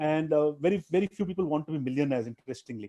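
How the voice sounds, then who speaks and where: A man speaks with a Tamil accent at a very fast pace. His voice has a dark, mellow tone. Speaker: private equity investor and traveler. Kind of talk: interview. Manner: halting, many fillers and restarts.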